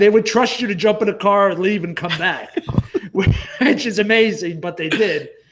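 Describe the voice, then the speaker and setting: This man has a high pitch and a New Jersey accent, with ordinary pitch variation. He talks at a moderate pace over noticeable background noise. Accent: New Jersey, self-described as horrible. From New Jersey (Wayne). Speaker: podcast co-host. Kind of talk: casual chat.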